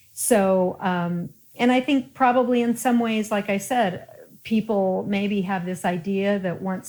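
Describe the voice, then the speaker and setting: A woman's medium-pitched, an unremarkable speaking voice with an American accent and ordinary pitch variation, on a very clean recording with a silent background. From Colorado. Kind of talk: interview.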